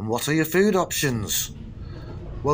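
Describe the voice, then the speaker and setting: Noticeable background noise is heard throughout. Over it, a man talks. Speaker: travel vlogger. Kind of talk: travel guide commentary. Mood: relaxed, lightly wry. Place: station.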